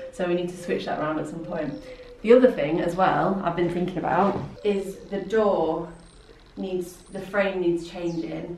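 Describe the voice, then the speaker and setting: A woman speaks at a moderate pace in a fairly low voice with fairly even intonation, over light background noise and audible room echo. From South Yorkshire / North Lincolnshire border, England. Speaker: photographer and artist. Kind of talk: casual vlog talk to camera. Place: workshop.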